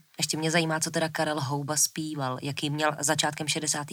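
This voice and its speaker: At a moderate pace, a woman speaks in a very deep, low voice on a very clean recording with a silent background. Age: 30s. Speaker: podcast co-host. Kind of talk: podcast conversation.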